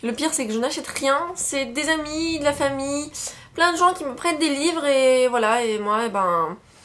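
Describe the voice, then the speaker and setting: Lively intonation over noticeable background noise. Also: woman, high pitch for a woman, moderate pace. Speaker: book vlogger. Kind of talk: casual talk to camera, book haul.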